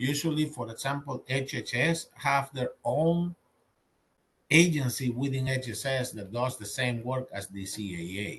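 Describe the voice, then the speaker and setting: With a Dominican accent, a man talks at a medium pitch with ordinary pitch variation. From Dominican Republic. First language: Spanish. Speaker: government contracting audit expert. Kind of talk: webinar presentation. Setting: virtual webinar.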